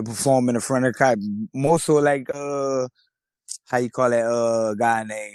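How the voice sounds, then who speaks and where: A man with a Louisiana accent speaks fairly slowly at a medium pitch with fairly even intonation. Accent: country Louisiana. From Louisiana, Lafayette (north side). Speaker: rapper. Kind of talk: interview. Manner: casual.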